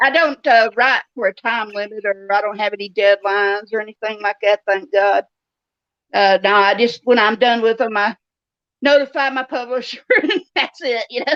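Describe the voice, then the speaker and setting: In a dry, close sound with no echo, a woman with a normal speaking voice talks at a fairly high pitch, moderate pace and ordinary pitch variation. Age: 60s. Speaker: novelist. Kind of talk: interview.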